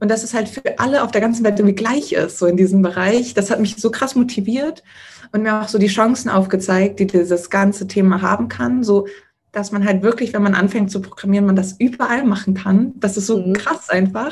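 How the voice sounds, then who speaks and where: Somewhat breathy and at medium pitch, a woman speaks at a fairly quick pace. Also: ordinary pitch variation. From Hamburg, northern Germany; Germany. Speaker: frontend developer; interviewee. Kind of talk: interview. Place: home room. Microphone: video call.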